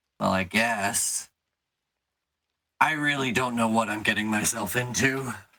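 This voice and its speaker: At a moderate pace, a man puts on a raspy character voice of medium pitch, keeping his intonation fairly even and leaving long, frequent pauses. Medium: actual play. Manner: questioning, skeptical.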